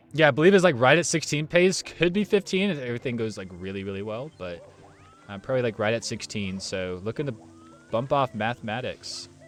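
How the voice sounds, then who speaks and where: A man with an American accent talks at a fairly quick pace, his medium-pitched voice swinging very widely in pitch and loudness. Music plays behind him. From United States. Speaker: esports commentator. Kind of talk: live commentary. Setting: live stream. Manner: animated.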